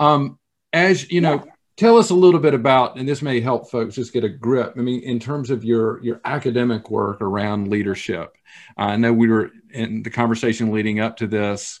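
Speaking with a Southern US accent, a man talks at a moderate pace. His pitch is medium with ordinary variation, against a quiet background. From US South. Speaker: church foundation director. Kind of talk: interview.

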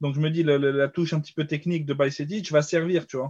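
A somewhat breathy man at a fairly quick pace. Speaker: football podcast panelist. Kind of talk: casual chat.

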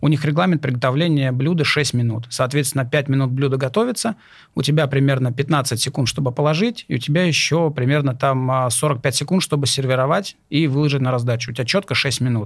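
A man with a fairly high, somewhat breathy voice and ordinary pitch variation speaks at a fairly quick pace in a very clean recording with a silent background. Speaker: chef and culinary instructor. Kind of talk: casual chat. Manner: hesitant, filler-heavy.

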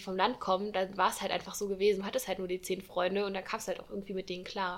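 A woman's medium-pitched voice, monotone and flat, at a very fast pace. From Saarland region, Germany. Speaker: student podcast host. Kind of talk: casual chat.

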